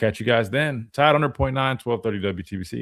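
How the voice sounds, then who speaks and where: A man speaks at a very fast pace with a medium-pitched voice. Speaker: sports talk host and former football linebacker. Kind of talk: live sports talk show. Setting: radio studio, live stream. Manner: casual, filler-heavy.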